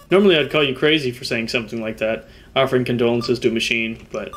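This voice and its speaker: A man's medium-pitched voice at a very fast pace, with ordinary pitch variation and music in the background. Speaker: gaming YouTuber. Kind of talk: casual gameplay commentary. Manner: casual, laughs often, self-correcting.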